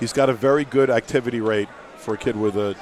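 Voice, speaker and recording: Over noticeable background noise, a man with an American accent speaks at medium pitch with fairly even intonation. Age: 60s. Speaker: boxing promoter and guest commentator. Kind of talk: live commentary. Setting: arena with crowd.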